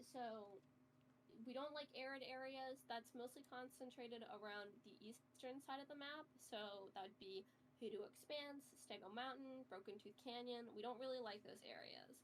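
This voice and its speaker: A woman's high-pitched voice at a moderate pace, ordinary pitch variation, noticeable background noise. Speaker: game roleplay guide. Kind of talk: tutorial.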